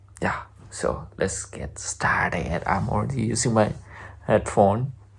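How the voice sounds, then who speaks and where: The speech is whispered, at a fairly slow pace. Behind it, there is noticeable background noise. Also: man. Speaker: YouTuber reacting to music videos. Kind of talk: reaction video commentary. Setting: home recording at night. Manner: quiet, lowered voice.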